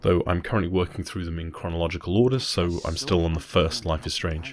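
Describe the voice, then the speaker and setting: Soft-spoken and breathy, a man with a very deep, low pitch talks at a very fast pace. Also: ordinary pitch variation. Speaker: gaming channel host. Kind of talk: game review narration. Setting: home recording, popping plosives. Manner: soft, breathy.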